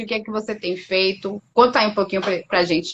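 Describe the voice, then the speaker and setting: A woman is speaking. She has a Bahian accent. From Bahia, Brazil. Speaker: doctor. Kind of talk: casual chat. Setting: live stream.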